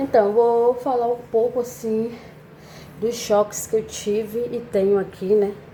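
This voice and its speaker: Noticeable background noise sits behind a woman with a fairly high pitch. She speaks at a very slow pace, her intonation fairly even. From Brazil, Salvador (Bahia). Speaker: vlogger. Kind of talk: casual vlog monologue. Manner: conversational, with many fillers.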